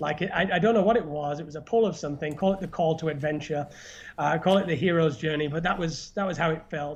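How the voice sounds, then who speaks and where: A man races along at a very fast pace, his fairly high voice showing ordinary pitch variation. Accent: northern English. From northern England. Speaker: YouTuber and podcast host. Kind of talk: casual chat. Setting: live stream.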